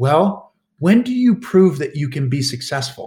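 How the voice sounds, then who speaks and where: This voice belongs to a man. There is a somewhat breathy quality to it. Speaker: Paralympic skier and motivational speaker. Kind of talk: interview conversation. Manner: halting, many repeated words and restarts.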